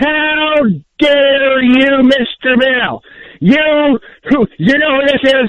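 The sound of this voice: A man's extremely high-pitched, slow delivery with ordinary pitch variation and a dry, close sound with no echo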